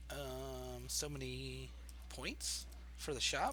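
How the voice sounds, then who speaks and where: A soft-spoken man's voice with audible room echo. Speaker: video game streamer. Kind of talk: casual chat. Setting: live stream. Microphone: quiet, voice turned up.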